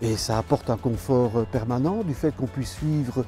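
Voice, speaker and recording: A man at a fairly slow pace with lively intonation, over noticeable background noise. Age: 70s. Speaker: retired veterinarian, diabetic patient. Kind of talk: testimony.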